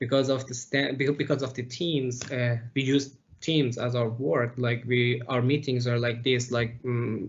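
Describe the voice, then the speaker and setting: A man with a non-native accent talks at a medium pitch and fairly slow pace, with hardly any pauses. His intonation is monotone and flat, and his voice is somewhat breathy. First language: not English. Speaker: process engineer. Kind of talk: interview. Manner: halting, many fillers.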